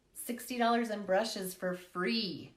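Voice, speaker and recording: A woman speaks in an animated tone. There is audible echo in the room. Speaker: makeup live streamer and product seller. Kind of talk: casual livestream chat. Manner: animated, fast.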